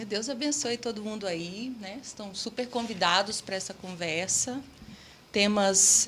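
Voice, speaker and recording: A woman with a Minas Gerais accent talks at a medium pitch and a fairly slow pace over noticeable background noise. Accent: Minas Gerais regional. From Minas Gerais, Brazil.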